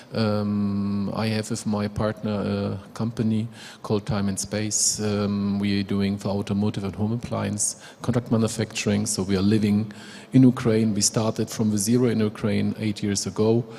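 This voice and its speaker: A man speaks with a German accent at a moderate pace. His fairly low voice holds a monotone, flat intonation. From Germany. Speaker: manufacturing company executive. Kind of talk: panel introduction. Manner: halting.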